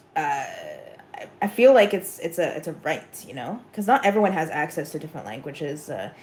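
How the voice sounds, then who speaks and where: A woman speaks with a Montreal accent. Her pitch is medium and her pace moderate. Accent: Montreal English, Canadian. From Montreal, Quebec. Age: 30s. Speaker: community worker helping homeless people. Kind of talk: casual interview chat.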